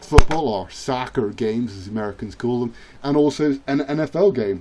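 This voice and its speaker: Dark and mellow in tone, a man with an English accent speaks at medium pitch with ordinary pitch variation. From England. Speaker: gaming youtuber. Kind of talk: gameplay commentary. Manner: hesitant with fillers; animated.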